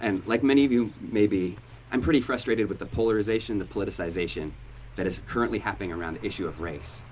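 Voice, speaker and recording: Audible room echo surrounds a man who speaks very fast at a fairly low pitch with lively intonation. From Oregon, US Northwest. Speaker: pastor. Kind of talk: hosted live interview event. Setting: church hall with live audience.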